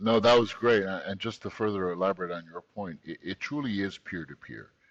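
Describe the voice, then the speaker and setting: Here is a man with a plain, everyday voice and a fairly low pitch with ordinary pitch variation. He talks at a fairly quick pace, and his loudness swings a lot. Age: 40s. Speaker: tech company CEO. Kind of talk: interview.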